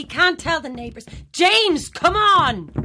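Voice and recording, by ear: Putting on a character voice, a woman speaks slowly at an extremely high pitch, with lively intonation and a bright, sharp tone.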